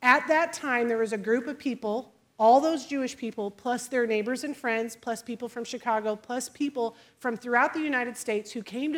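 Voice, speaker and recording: A woman with an American accent and a normal speaking voice talks at a moderate pace, her fairly high pitch showing ordinary variation. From US Midwest, Illinois. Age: 40s. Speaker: preacher. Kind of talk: sermon.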